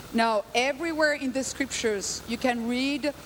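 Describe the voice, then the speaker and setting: Loud and high-pitched, a woman speaks at a very slow pace with lively intonation over noticeable background noise. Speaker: guest preacher. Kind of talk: sermon.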